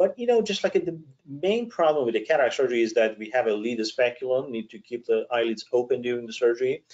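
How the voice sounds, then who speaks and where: The loudness swings in big ways. The pace is very fast. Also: man. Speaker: eye surgeon. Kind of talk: webinar presentation. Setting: online webinar.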